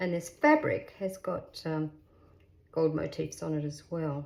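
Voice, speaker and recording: A somewhat breathy woman's voice with an Australian accent. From Western Australia, Perth. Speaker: craft youtuber. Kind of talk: tutorial. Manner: cheerful, animated.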